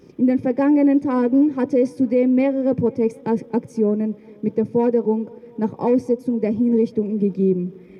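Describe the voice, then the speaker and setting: A woman with a high pitch and fairly even intonation talks at a moderate pace. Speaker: rally speaker. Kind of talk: rally speech, reading a statement. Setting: outdoors at demonstration. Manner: formal, earnest, indignant.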